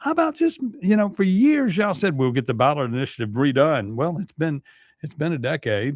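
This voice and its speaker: A man speaks with a Mississippi accent on a very clean recording with a silent background. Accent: US Southern (Mississippi). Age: 60s. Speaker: radio talk show host. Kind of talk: talk radio monologue. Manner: casual, halting with many fillers.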